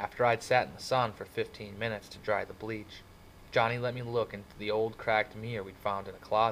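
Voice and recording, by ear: The intonation stays fairly even as this natural voice reads aloud.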